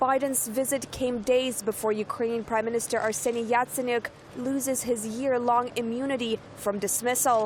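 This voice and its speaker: A high-pitched woman's voice in a flat monotone, over noticeable background noise. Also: moderate pace, very even loudness. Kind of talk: TV news narration.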